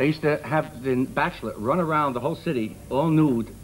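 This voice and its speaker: A man with a Brooklyn accent, over noticeable background noise. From Brooklyn, New York (Brownsville). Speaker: comedian. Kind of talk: talk show comedy chat.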